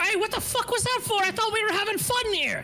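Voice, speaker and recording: A put-on character voice at an extremely high pitch rattles along at a fairly quick pace over clear background noise. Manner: yelping in pain, indignant.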